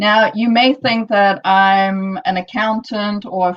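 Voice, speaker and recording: Medium-pitched female voice with a South African accent. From South Africa, Johannesburg. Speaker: entrepreneur, conference speaker. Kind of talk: conference talk. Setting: online live-streamed conference.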